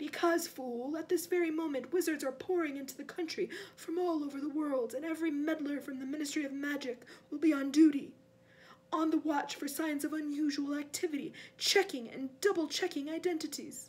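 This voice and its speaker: Using a put-on character voice, a woman talks at a fairly quick pace with a high pitch. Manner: cold, menacing.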